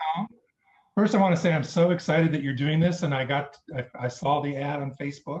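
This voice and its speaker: The man talks fairly quickly, his voice somewhat breathy and fairly high, with ordinary pitch variation. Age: 50s. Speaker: viewer asking a question. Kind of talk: casual chat.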